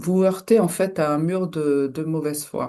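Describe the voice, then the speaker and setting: A woman speaks very slowly in a fairly low voice with a dark, mellow tone. The background is quiet. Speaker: hypnotherapist. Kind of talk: solo video talk. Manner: hesitant, many fillers.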